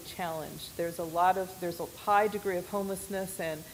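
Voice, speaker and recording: A woman with an American accent, medium in pitch, fairly quick and fairly even in intonation, with audible room echo. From US West, Oregon. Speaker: missionary. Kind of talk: church presentation.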